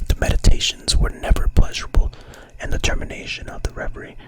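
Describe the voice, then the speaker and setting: A man is whispering. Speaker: ASMR content creator and virtual streamer. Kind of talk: whispered story reading. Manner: whispered, soft.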